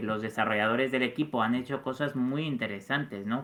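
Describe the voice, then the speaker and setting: Here a man talks at a moderate pace. His voice sits at a medium pitch. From Mexico. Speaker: journalist, community manager. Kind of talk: casual interview.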